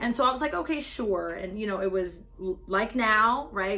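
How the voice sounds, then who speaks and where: Noticeable background noise fills the recording. Over it, a woman talks with an American accent. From US West, Las Vegas. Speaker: spoken word poet. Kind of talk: talk with poetry reading. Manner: conversational, many fillers.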